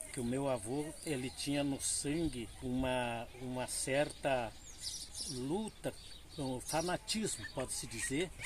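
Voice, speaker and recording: Speaking very slowly, a man keeps a medium pitch. His pitch variation is ordinary. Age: 80s+. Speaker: elderly local storyteller. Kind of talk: oral history interview. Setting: outdoors under a tree.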